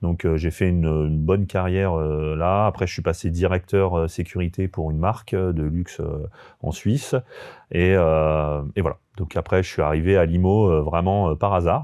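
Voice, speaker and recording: A man speaks at a very deep, low pitch with a dark, mellow tone. His pace is moderate and his intonation fairly even. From France, Haute-Savoie (Annecy area). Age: 30s. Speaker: army veteran turned real estate investor. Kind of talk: podcast interview. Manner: hesitant, many fillers.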